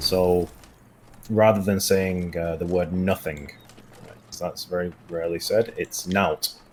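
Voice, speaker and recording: Very deep and low in pitch, a man speaks with a northern English accent at a fairly slow pace. His intonation stays fairly even while his loudness swings widely. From northern England. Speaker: game designer. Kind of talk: casual gameplay stream chat. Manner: hesitant, many fillers.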